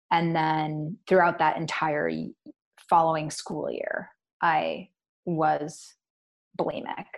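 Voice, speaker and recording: A woman with an American accent, very slow pace and long, frequent pauses. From Washington State, Puget Sound. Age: 30s. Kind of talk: casual interview.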